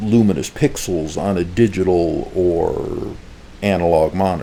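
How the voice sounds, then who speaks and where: A man with a very deep, low voice speaks at a very slow pace. His pitch variation is ordinary, and there is noticeable background noise. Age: old. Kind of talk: casual talk to camera.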